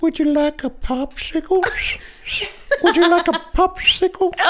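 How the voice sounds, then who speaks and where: A put-on character voice at an extremely high pitch moves along at a moderate pace. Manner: creepy, whistling.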